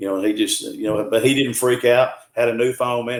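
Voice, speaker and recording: Fairly quick speech comes in a Southern US accent. The intonation stays fairly even. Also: man. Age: 60s. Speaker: cryptid field researcher. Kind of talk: podcast interview. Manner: casual, many fillers and restarts.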